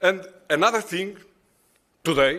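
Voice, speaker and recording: A man with a Portuguese accent, bright, sharp tone and fairly slow pace. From Portugal. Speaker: conference presenter. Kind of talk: conference presentation. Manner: halting.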